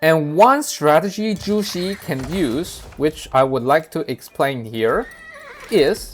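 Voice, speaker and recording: Intonation is lively, with a non-native accent and a very slow pace. Noticeable background noise runs beneath the speech. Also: man. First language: not English. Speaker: gaming video creator. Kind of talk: gameplay commentary tutorial. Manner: halting, many fillers.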